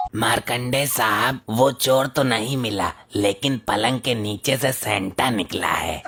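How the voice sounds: Using a cartoonish character voice at a medium pitch, a man speaks at a fairly slow pace.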